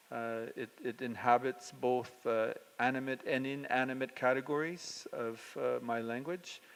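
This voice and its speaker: Fairly even intonation at a fairly slow pace. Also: man. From Northern Ontario, Canada (Cree, Treaty Nine). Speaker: artist. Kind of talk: informal artist talk. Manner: halting, many fillers.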